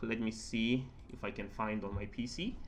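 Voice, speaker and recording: The medium-pitched voice of a man comes through with audible room echo. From southern Africa. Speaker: concept artist and art teacher. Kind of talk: casual tutorial chat. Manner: halting, many fillers.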